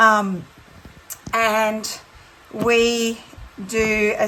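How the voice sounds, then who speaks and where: A woman with a fairly high pitch and an Australian accent talks against light background noise. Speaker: textile art teacher. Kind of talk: tutorial. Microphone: phone near.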